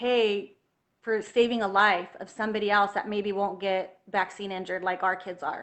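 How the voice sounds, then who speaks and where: The pace is moderate. The intonation stays monotone and flat. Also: woman, medium pitch for a woman. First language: Spanish. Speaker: health freedom activist, homeschooling mother. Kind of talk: interview on livestream.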